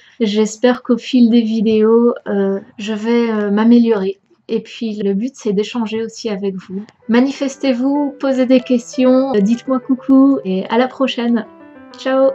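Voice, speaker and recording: A woman's fairly high voice at a very slow pace, fairly even in intonation, with music in the background. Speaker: vlogger, trainee French teacher. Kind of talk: personal vlog. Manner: hesitant, stumbling; closed pronunciation.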